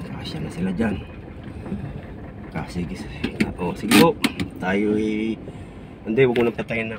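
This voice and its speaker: Against noticeable background noise, a man with a fairly low pitch talks at a moderate pace, with ordinary pitch variation, big swings in loudness and long, frequent pauses. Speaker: vlogger. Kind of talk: casual vlog narration. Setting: outdoors by a river.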